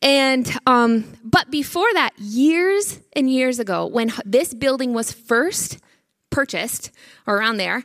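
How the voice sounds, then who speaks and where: Animated and high-pitched, a woman speaks at a fairly slow pace with lively intonation. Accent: Northern US. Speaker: church member giving testimony. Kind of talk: testimony.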